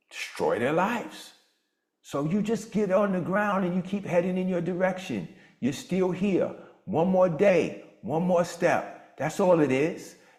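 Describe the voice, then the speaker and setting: Audible room echo follows a man with a high-pitched voice speaking at a fairly slow pace. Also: ordinary pitch variation. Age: 60s. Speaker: motivational speaker and mastermind host. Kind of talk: motivational coaching talk on a video call. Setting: video call. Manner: animated.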